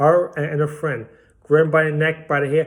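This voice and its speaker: A man talks in an animated tone with a Brooklyn accent. His pitch is fairly high, and his voice is somewhat breathy. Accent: Brooklyn New York. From Brooklyn, New York (Bensonhurst). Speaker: political commentator vlogger. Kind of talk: angry monologue.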